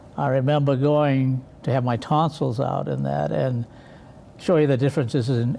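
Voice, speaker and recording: A man with an American accent talks at a moderate pace and a medium pitch, with ordinary pitch variation. Noticeable background noise is present. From Leominster, Massachusetts, New England. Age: 90s. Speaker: retired local businessman. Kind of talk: interview.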